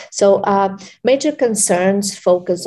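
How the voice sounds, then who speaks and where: The voice has a dark, mellow tone and speaks with a Portuguese accent. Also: woman. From Portugal, Lisbon. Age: 40s. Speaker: researcher. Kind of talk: interview. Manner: halting, many fillers.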